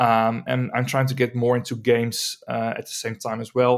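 A man with a Dutch accent speaks at a medium pitch. The recording is very clean, with a silent background. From Netherlands. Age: young. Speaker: composer. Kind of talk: interview.

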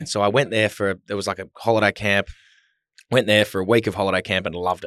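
A man talks very fast with an Australian accent, his tone bright and sharp at a fairly low pitch. The sound is dry and close with no echo, over a quiet background. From Melbourne, Australia. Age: 20s. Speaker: retired footballer. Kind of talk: casual chat. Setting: studio.

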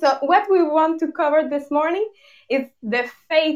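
This woman speaks in a Quebec accent. Her intonation is lively. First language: French. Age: young. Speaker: podcast co-host. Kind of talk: casual chat. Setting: video call. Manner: giggly.

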